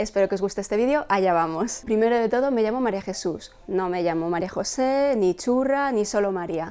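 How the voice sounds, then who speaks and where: With a Madrid accent, a woman speaks in a dark, mellow tone with lively intonation. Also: fairly quick pace, hardly any pauses. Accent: Castilian Spanish (Madrid). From Spain, Madrid. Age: 30s. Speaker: fashion blogger and YouTuber. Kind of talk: personal vlog to camera. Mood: cheerful, warm. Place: home room. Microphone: lapel.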